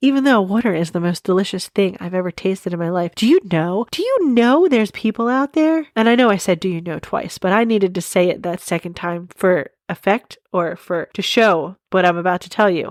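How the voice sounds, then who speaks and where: A woman at medium pitch speaks fairly quickly with lively intonation and hardly any pauses, in a dry, close recording with no echo. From Delaware County, Pennsylvania. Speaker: podcast host. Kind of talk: casual monologue. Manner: chatty, rambling asides.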